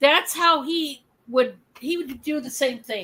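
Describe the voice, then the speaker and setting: In a Michigan accent, a woman projects a raised voice. Her tone is high, bright and sharp. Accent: Michigan accent, flat lazy A. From Michigan, US. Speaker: livestream host and reseller. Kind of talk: live selling stream chat. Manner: casual, chatty.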